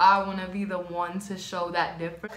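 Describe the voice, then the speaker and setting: A woman talks at a moderate pace. Audible room echo surrounds her voice. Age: 20s. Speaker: YouTuber, nail technician; YouTuber. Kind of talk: casual vlog chat while doing makeup. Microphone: phone near.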